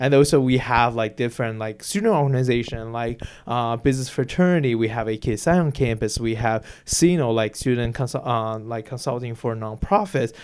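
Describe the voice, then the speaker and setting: Speaking at a moderate pace, a man with a Chinese accent talks at a medium pitch. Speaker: university student. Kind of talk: interview. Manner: halting.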